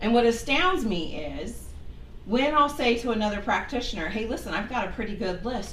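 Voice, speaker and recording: A woman with a fairly high pitch speaks in an animated tone, with audible room echo and noticeable background noise. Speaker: minister and medium. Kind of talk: sermon. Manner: loud.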